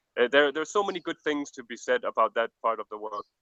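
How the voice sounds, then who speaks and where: The tone is bright and sharp. The pace is fairly quick. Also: man. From Denmark. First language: Danish. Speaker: overland world traveller. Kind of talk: interview.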